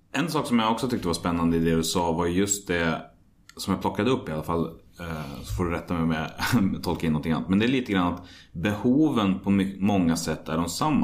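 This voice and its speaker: A man with a very deep, low voice talks at a fairly quick pace. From Sweden, Västmanland (Hallstahammar). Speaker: podcast host. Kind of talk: interview.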